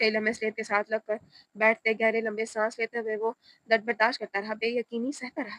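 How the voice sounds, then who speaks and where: Soft-spoken, a woman talks at a fairly high pitch with monotone, flat intonation, in a dry, close sound with no echo. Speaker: audiobook narrator. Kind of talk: reading aloud. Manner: soft, emotional tone.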